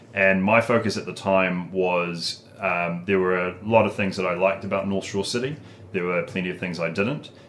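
At a moderate pace, a man with a New Zealand accent speaks in a very deep, low pitch. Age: 20s. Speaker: local politician. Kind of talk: casual chat.

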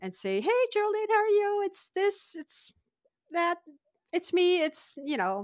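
In a French accent, a woman speaks at a fairly slow pace with an extremely high pitch and lively intonation. Her pauses are long and frequent. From northern France (Lille). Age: 50s. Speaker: immigrant sharing her story. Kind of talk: casual interview chat. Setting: remote call.

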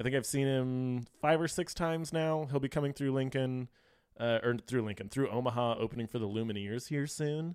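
In an American accent, the speaker has an unremarkable speaking voice, talking at a fairly quick pace with ordinary pitch variation. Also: man, medium pitch for a man. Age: young. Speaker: brewer. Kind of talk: casual chat.

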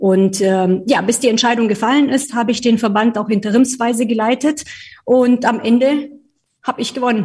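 With a slight Bavarian accent, a woman of fairly high pitch speaks at a moderate pace with fairly even intonation. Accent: slight Bavarian tinge. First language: not German (speaking German). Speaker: trade association executive. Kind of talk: interview. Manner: hesitant, many fillers.

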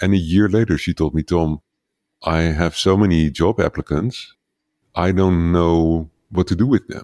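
On a very clean recording with a silent background, a man with a Dutch accent speaks in a very deep, low pitch with ordinary variation and a dark, mellow tone, the sound dry and close with no echo. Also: moderate pace. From Netherlands. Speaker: leadership coach for entrepreneurs. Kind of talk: interview conversation.

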